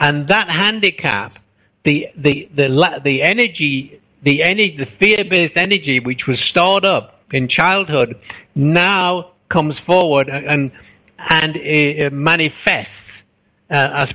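At a fairly slow pace, a man talks with a fairly high pitch, a bright, sharp tone and lively intonation. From England. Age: 70s. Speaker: author and speaker. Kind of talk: interview. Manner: halting.

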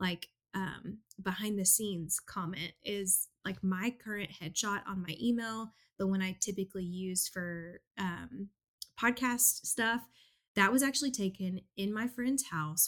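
This woman has an ordinary speaking voice. The recording is very clean, with a silent background. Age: 30s. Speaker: podcast host, business coach. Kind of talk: casual interview chat.

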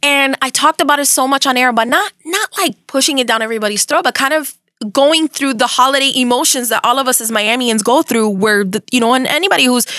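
An animated, raised, projected voice at a very fast pace, with ordinary pitch variation and a dry, close sound with no echo. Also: woman. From Miami, Florida (Cuban American, Hialeah). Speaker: radio host. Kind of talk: casual interview.

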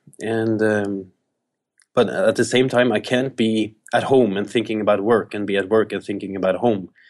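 Fairly low in pitch, a man speaks with a Norwegian accent at a moderate pace. His intonation is fairly even against a quiet background. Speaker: pastor. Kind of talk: interview. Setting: video call.

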